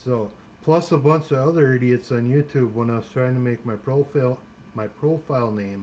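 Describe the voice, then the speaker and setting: A man with an American accent at medium pitch, with ordinary pitch variation and a moderate pace. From Minnesota. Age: 50s. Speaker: live streamer. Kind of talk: casual chat. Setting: live stream. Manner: relaxed, chatty.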